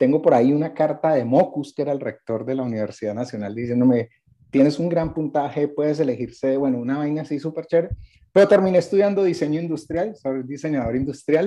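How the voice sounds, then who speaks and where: Talking at a very fast pace, a man uses ordinary pitch variation and a dark, mellow tone. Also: fairly high pitch for a man. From Cali, Colombia. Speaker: podcast panelist, advertising copywriter. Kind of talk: casual chat. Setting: video call.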